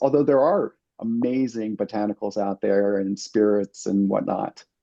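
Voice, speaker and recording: A man speaks with an American accent in a medium pitch. He has an ordinary speaking voice with ordinary pitch variation. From US East Coast. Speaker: alcohol-free mixologist. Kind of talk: podcast interview.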